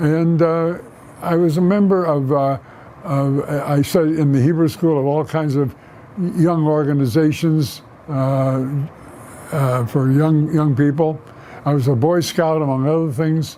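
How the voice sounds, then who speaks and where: A man's fairly high-pitched voice with an American accent, at a fairly slow pace with fairly even intonation, very even loudness, long, frequent pauses and noticeable background noise. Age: 90s. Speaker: war veteran. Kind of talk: oral history interview. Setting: office. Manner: halting.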